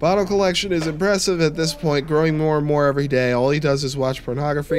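A man talking at a very fast pace over noticeable background noise. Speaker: gaming YouTuber. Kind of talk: gameplay commentary. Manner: casual, chatty, joking. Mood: wary, joking.

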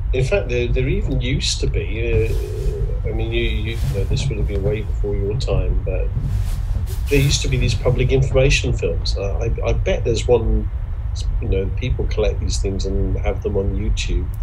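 Music plays in the background as a man talks at a moderate pace. His loudness stays very even. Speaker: interviewee. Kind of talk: interview answer. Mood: relaxed, amused reminiscing. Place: home room.

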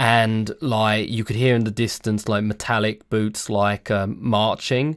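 An unforced reading voice carries fairly even intonation here.

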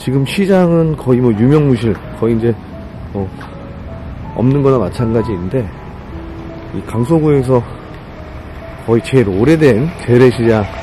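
Over music in the background, a man talks at a moderate pace with lively intonation and long, frequent pauses, the sound dry with no echo. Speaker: vlogger walking tour. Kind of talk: casual vlog chat. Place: street. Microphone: phone near.

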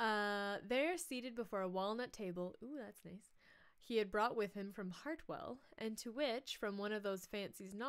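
Pitch varies in an ordinary way in this unforced reading voice.

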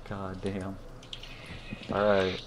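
Noticeable background noise behind a man speaking. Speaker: gaming streamer. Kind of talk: let's play commentary. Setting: livestream with friends on voice chat. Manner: casual, swears freely.

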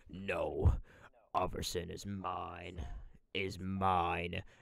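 A growling, put-on character voice from a man, very deep and low in pitch, at a very slow pace. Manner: possessive, dramatic.

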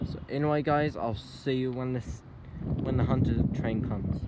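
Over loud background noise, a man talks at a moderate pace with ordinary pitch variation, and the sound is dry with no echo. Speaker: train enthusiast vlogger. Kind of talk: casual vlog chat. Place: station. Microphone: phone near.

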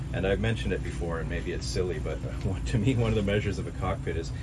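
Loud background noise surrounds the recording. A man speaks at a very fast pace. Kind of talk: walkthrough tour commentary. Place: boat. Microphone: phone near.

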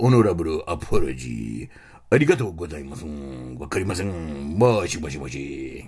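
With lively intonation, a man talks in a very deep, low voice. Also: moderate pace. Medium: comedy sketch. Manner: excitable, insistent, clipped.

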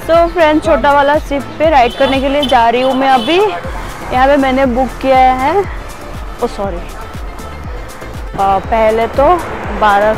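Clear music plays in the background as the speaker goes at a very slow pace with ordinary pitch variation, in a dry sound with no echo. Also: woman. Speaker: travel vlogger. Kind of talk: casual vlog chat. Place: street. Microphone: phone near.

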